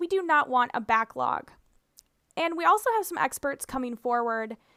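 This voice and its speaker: In a raised, projected voice, a woman with a Minnesotan accent talks fairly quickly at a high pitch, her tone bright and sharp and her intonation lively. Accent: Minnesota. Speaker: speech-language pathologist. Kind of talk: tutorial presentation.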